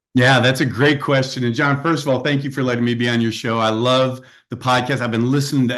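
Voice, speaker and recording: Against a quiet background, a man talks at a very fast pace. His medium-pitched voice stays monotone and flat. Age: 60s. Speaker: executive coach and author. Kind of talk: podcast interview.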